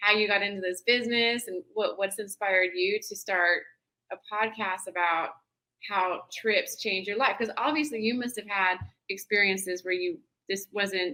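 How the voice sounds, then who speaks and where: A woman's bright, sharp tone at a moderate pace. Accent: American. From Tennessee and Southern California. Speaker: travel business founder. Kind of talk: interview.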